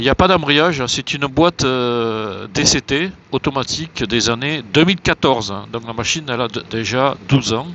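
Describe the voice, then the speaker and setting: With hardly any pauses, the talk keeps a moderate pace and ordinary pitch variation. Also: man, medium pitch for a man. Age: 60s. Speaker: motorcycle traveller vlogger. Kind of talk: travel vlog. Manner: hesitant, many filler sounds.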